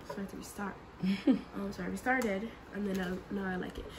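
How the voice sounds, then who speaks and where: Noticeable background noise runs through the clip. Over it, a woman talks at a fairly quick pace. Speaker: vlogger. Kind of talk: casual vlog chat. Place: home room. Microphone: phone near.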